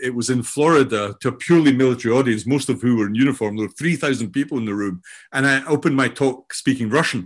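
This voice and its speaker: Speech comes at a very fast pace with ordinary pitch variation, in a Scottish accent. The background is quiet. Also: man, hardly any pauses. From Scotland. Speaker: AI and learning expert, author. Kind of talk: interview conversation.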